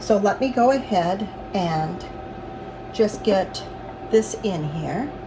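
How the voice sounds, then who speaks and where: A woman against noticeable background noise. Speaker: home baker and farm vlogger. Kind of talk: cooking tutorial. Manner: slow; halting.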